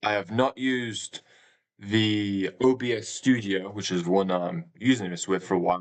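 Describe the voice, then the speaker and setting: A British accent at a moderate pace, with ordinary pitch variation over a quiet background. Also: man, fairly low pitch for a man. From England. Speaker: gaming streamer. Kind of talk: live stream chat. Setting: live stream. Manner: halting.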